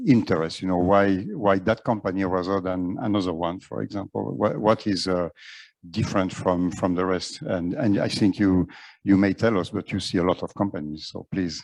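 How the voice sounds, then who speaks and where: With a French accent, a man talks at a moderate pace in a very deep, low pitch. His pitch variation is ordinary, and the background is quiet. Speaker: panel moderator. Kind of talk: panel discussion. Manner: halting, many fillers.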